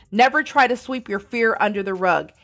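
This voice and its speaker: Over music in the background, the speaker goes at a moderate pace with ordinary pitch variation. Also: woman. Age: 40s. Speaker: podcast host. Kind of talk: motivational monologue.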